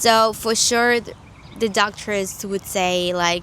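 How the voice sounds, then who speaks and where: A woman with a Spanish accent, very slow, with fairly even intonation. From Mexico (Jalisco family). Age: 20s. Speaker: YouTuber sharing faith testimony. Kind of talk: testimony. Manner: halting, with fillers and self-corrections.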